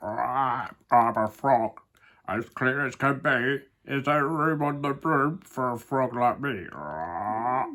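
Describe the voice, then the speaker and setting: A croaky put-on character voice at low-to-middle pitch and a very slow pace, on a very clean recording with a silent background. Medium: read story.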